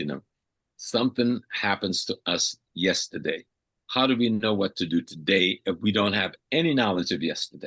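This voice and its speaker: Bright, sharp male tone with lively intonation, a dry, close sound with no echo, and a quiet background. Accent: American. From US South, coastal South Carolina. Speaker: historian and Pan-African scholar. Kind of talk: radio interview. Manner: animated.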